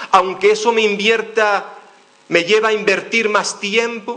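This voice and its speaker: A man with a Canarian accent speaks in a raised, projected voice at a high pitch, very slowly and in a flat monotone. Noticeable background noise and audible room echo fill the recording. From Canary Islands, Spain. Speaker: pastor. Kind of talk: sermon. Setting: church.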